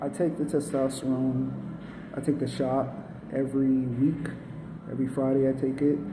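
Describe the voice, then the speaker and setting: A man with a medium-pitched voice talks at a fairly slow pace, with audible room echo and noticeable background noise. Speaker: vlogger sharing transition update. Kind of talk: casual video diary. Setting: at a medical appointment.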